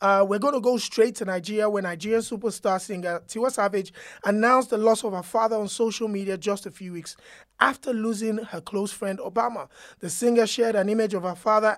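The tone is animated and enthusiastic, at a fairly quick pace. The recording is very clean, with a silent background. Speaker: podcast host. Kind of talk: radio DJ patter, upbeat show opening. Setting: studio. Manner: animated, high-energy, enthusiastic.

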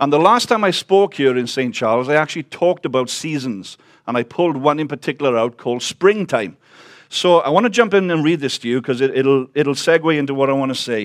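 Speaking at a very fast pace, a man with a Welsh accent has a fairly high pitch and lively intonation. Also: very clean recording, silent background. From Wales. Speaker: visiting preacher. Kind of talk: sermon.

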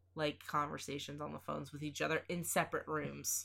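Vocal fry runs through a woman's bright, sharp tone as she speaks at a fairly quick pace. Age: 20s. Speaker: podcast co-host. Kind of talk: casual chat.

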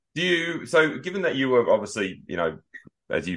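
A man with an Australian accent at a fairly quick pace, ordinary pitch variation, quiet background. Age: 40s. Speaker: podcast host and bodybuilding coach. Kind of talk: interview.

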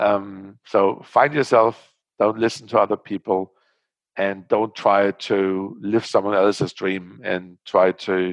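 In a German accent, a man speaks very slowly with fairly even intonation and a fairly low pitch, the sound dry and close with no echo against a quiet background. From Germany. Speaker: startup founder. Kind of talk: interview. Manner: halting.

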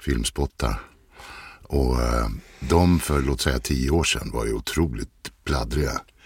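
A man talks at a fairly slow pace, his pitch very deep and low with vocal fry. The sound is dry and close, with no echo. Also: ordinary pitch variation. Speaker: voice-over artist. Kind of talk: casual chat.

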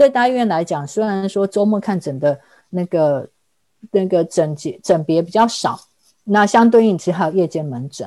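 A woman with a Taiwanese accent, medium in pitch, dark and mellow in tone, with lively intonation at a moderate pace on a very clean recording with a silent background. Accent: Taiwanese Mandarin. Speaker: mature student and immigrant. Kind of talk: casual interview chat.

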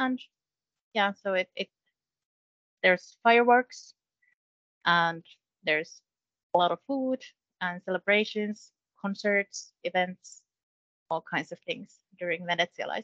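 A woman with a Finnish accent speaks at a medium pitch and a fairly slow pace, with ordinary pitch variation, long, frequent pauses, and a dry, close sound with no echo. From Finland, Kokkola. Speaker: education export specialist. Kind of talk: casual chat.

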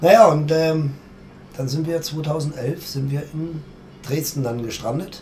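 Over noticeable background noise and audible room echo, a man with a fairly high pitch speaks with fairly even intonation and long, frequent pauses. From Germany, circus family. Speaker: circus director. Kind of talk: interview. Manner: fast.

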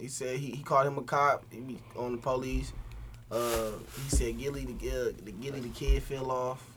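A man talks at a moderate pace, his loudness swinging widely, with noticeable background noise and audible room echo. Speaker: rapper. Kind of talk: casual chat. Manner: talkative.

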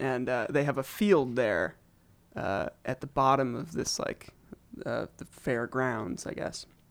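With a General American accent, a man speaks at a fairly slow pace and medium pitch, using lively intonation and vocal fry. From US Pacific Northwest (Eugene, Oregon). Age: 20s. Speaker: pianist and producer. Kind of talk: casual interview chat.

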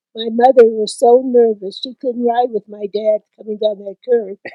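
A woman's fairly high voice at a fairly slow pace. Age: 80s+. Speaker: family matriarch. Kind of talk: casual family chat. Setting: family cabin in the mountains.

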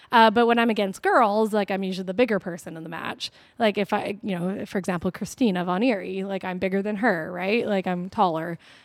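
Heard on a very clean recording with a silent background, a woman with a plain, everyday voice speaks at a fairly quick pace, medium pitch and fairly even intonation. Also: hardly any pauses. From Vancouver area, Canada. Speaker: professional wrestler. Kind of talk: casual chat. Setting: wrestling training warehouse.

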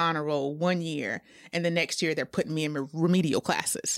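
With an American accent, a woman speaks in a fairly low pitch with fairly even intonation. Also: very clean recording, silent background. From South Carolina, US. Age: 40s. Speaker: event planner. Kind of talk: casual chat.

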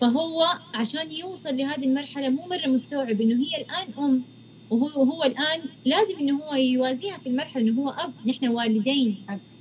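Pitch varies in an ordinary way as the talk proceeds at a moderate pace over noticeable background noise. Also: woman, high pitch for a woman. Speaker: live stream host. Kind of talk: casual chat in a live stream interview. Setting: video call live stream.

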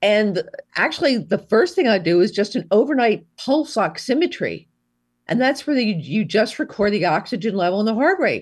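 A somewhat breathy woman at a fairly high pitch, very wide pitch swings, very even loudness and a moderate pace, over a quiet background. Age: 70s. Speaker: physician and psychiatrist. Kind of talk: interview.

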